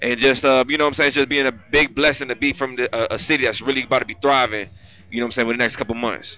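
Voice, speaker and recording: With music playing in the background, a man with an American accent talks very fast at a medium pitch, his intonation fairly even. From Cleveland, Ohio. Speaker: rapper. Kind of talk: casual interview. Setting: studio grand opening.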